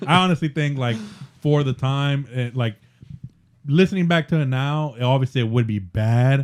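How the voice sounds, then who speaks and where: A man at medium pitch, moderate pace and ordinary pitch variation. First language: Spanish. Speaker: podcast co-host. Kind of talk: casual chat. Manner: halting, many fillers.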